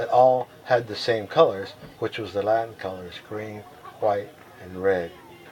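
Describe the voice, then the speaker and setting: There is noticeable background noise behind this man. He speaks at a moderate pace in a fairly low voice. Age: 70s. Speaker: veteran skydiver. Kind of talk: oral history interview. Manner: halting, many fillers.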